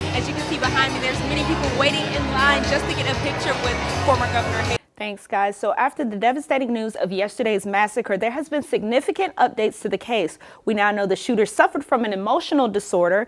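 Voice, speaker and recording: Music plays in the background as a woman talks at a very fast pace. Her voice is fairly high, with lively intonation. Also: hardly any pauses. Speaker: TV news reporter and anchor. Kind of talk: broadcast news reporting and anchoring. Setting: on-location stand-up and studio anchor delivery.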